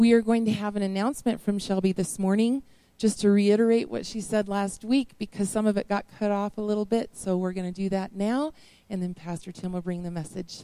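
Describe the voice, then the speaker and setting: The tone is warm and upbeat, also dark and mellow. The pace is fairly quick. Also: woman, medium pitch for a woman. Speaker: worship leader. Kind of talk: church announcements and prayer. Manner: warm, upbeat.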